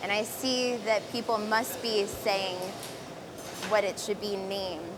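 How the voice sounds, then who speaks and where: A woman talks at a fairly slow pace with a medium pitch and fairly even intonation. Audible room echo and noticeable background noise surround her. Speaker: live stream host at glassblowing demo. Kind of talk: live demo commentary. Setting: glass studio with live audience. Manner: chatty, talkative.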